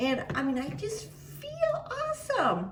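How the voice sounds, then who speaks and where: A woman speaks in a room with audible echo. Background noise is noticeable. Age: 60s. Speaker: cooking vlogger. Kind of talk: cooking tutorial with personal chat. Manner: chatty, with fillers.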